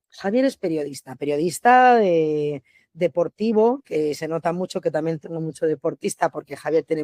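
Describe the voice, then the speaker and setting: Her intonation is lively as this woman speaks. The sound is dry and close with no echo. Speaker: restaurant owner and manager. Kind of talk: podcast interview. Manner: fast, animated.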